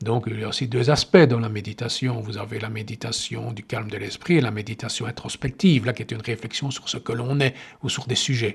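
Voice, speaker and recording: A man at a medium pitch, a fairly quick pace and fairly even intonation. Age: 60s. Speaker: meditation teacher and healer. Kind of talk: podcast monologue. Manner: halting.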